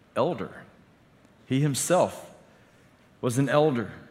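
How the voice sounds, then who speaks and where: This man's voice carries audible echo from the room. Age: 40s. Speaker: pastor. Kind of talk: sermon.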